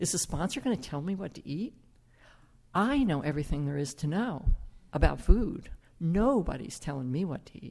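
A woman with a fairly low pitch speaks at a moderate pace, pausing long and often. Her pitch swings very widely, and her loudness shifts by big amounts. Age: 70s. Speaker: recovery group member telling their story. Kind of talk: testimony. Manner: halting.

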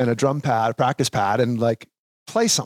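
With an Upper Midwest accent, a man speaks with ordinary pitch variation in a very clean recording with a silent background and a dry, close sound with no echo. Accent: Upper Midwest American. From Minnesota (Sauk Rapids). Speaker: professional drummer. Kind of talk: casual interview. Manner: halting, many fillers.

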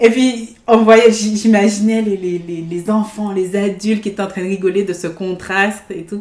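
Speaking at a fairly slow pace, a woman keeps her medium-pitched voice in a monotone with flat intonation. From Guadeloupe. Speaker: theatre and improv enthusiast. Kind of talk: casual chat.

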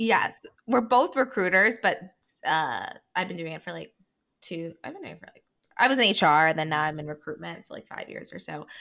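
The voice has a bright, sharp tone and vocal fry, moving at a fairly quick pace. Its pitch swings very widely, and its loudness swings a lot too. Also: woman, medium pitch for a woman. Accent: American. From US Midwest, Cleveland. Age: 20s. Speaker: podcast co-host guest. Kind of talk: casual chat.

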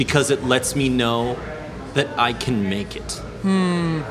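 Over noticeable background noise, a man speaks in an American accent at a fairly slow pace. His pitch is fairly high. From Iowa (Ames). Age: 30s. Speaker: musician. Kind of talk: casual chat. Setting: coffee shop.

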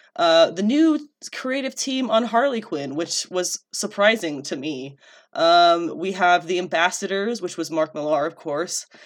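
Here a woman with a plain, everyday voice speaks at a fairly slow pace and fairly low pitch, her intonation lively, in a very clean recording with a silent background. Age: 20s. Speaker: podcast host. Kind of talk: casual chat.

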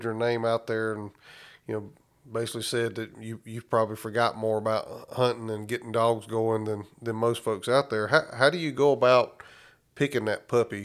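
A man talks at a moderate pace and medium pitch in an ordinary speaking voice, recorded very cleanly with a silent background. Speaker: podcast host. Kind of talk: casual interview.

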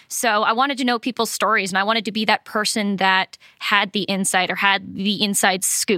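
A woman with an American accent talks at a fairly quick pace in a bright, sharp tone, with hardly any pauses and very even loudness. The sound is dry and close with no echo, on a very clean recording with a silent background. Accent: faint Boston accent, mostly gone. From Massachusetts, Cape Cod. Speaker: economic development professional. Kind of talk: interview.

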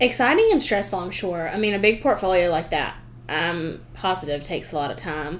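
Over audible room echo, a woman talks fairly quickly with a Southern US accent. Her medium pitch carries lively intonation. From US South. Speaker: student podcast host. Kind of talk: casual chat.

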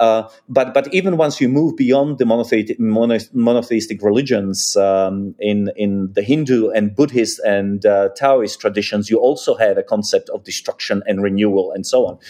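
Here a man speaks with a Czech accent. He leaves hardly any pauses. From Czechoslovakia. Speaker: think tank senior fellow and author. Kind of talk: interview discussion. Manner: halting, hesitant with fillers.

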